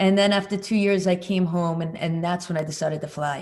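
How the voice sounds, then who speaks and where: Fairly even intonation holds as the words rush out at a very fast pace. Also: woman. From US Northeast, Long Island, New York. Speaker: motorcyclist and commercial pilot. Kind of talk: casual interview chat.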